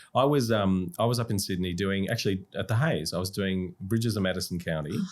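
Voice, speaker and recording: A fairly quick man's voice with an Australian accent, fairly low in pitch, with ordinary pitch variation. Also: very clean recording, silent background. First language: Russian. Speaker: musical theatre actor. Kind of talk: podcast interview. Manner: animated.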